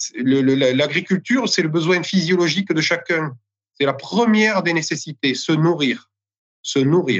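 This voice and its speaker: This man has a plain, everyday voice, fairly high in pitch, with lively intonation and very even loudness. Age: 30s. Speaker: winegrower and village mayor. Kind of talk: interview.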